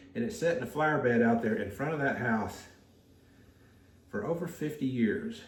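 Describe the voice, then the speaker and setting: At a moderate pace, a man speaks with very wide pitch swings amid noticeable background noise and audible room echo. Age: 60s. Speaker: potter. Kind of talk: casual chat. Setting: pottery studio. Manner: relaxed, hesitant.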